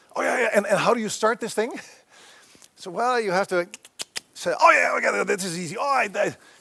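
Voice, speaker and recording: In a Canadian accent, a man with a high pitch projects a raised voice at a fairly quick pace, his intonation lively and his pauses long and frequent. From Western Canada. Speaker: professor. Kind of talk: lecture.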